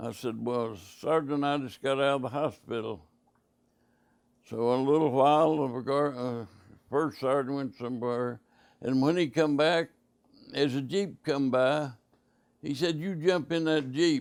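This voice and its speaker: A man with an Appalachian accent speaks at a fairly slow pace in a fairly high voice, with ordinary pitch variation and long, frequent pauses. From West Virginia. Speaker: war veteran. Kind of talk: interview answer. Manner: hesitant, halting.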